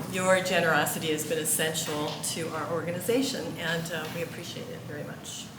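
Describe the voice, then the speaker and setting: A woman talks at a fairly quick pace with hardly any pauses, her pitch fairly low and her loudness swinging widely. Noticeable background noise and audible room echo fill the recording. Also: ordinary pitch variation. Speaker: board member. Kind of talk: formal report speech. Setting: church meeting with audience. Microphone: too far from mic at first.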